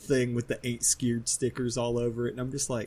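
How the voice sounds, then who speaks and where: A man speaks at a medium pitch with a slight Southern US accent. His voice is somewhat breathy. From southern West Virginia. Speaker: podcast co-host. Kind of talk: casual chat. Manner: animated.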